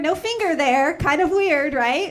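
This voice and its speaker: A woman's raised, projected voice in a Chicago accent, high in pitch with ordinary pitch variation, at a moderate pace amid audible room echo. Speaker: stand-up comedian. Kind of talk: stand-up. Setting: stage with audience.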